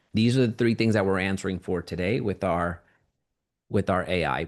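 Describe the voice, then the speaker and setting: A man with a very deep, low pitch and vocal fry talks with ordinary pitch variation against a quiet background. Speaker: online course instructor. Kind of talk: tutorial.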